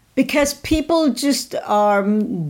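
The recording is very clean, with a silent background. The voice is a woman's. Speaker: motivational speaker. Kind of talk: casual chat. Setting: studio. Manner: loud.

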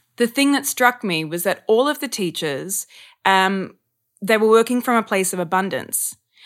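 At a moderate pace, a woman of medium pitch talks with an Australian accent. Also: lively intonation. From Australia, Sydney. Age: 30s. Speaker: actor and acting coach. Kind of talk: casual chat. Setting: podcast interview.

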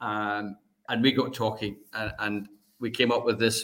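In a Scottish accent, a man speaks at a fairly slow pace and a medium pitch. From Scotland. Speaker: charity fundraiser. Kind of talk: casual chat.

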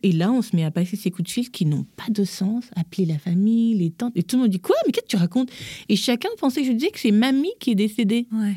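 Speaking at a very fast pace, a woman has a dark, mellow tone that is somewhat breathy, with lively intonation. The sound is dry and close, with no echo. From Gabon. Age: 40s. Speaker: image consultant. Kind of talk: casual chat.

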